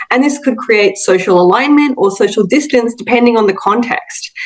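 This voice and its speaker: Over noticeable background noise, a woman talks with an Australian accent. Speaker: linguistics academic. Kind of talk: interview. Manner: hesitant, many fillers.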